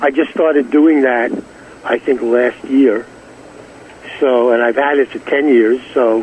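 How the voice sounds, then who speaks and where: A man with an American accent and a medium pitch speaks at a fairly slow pace with fairly even intonation and long, frequent pauses, amid noticeable background noise. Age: 70s. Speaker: 1960s pop singer. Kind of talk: casual interview chat.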